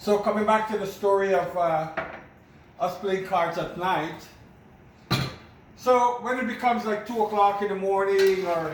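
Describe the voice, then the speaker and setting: Noticeable background noise and audible room echo surround a man with a high pitch and fairly even intonation. He talks at a moderate pace with long, frequent pauses. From Guyana (Berbice). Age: 60s. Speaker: home cook vlogger. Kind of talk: cooking tutorial with personal stories. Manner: casual, conversational.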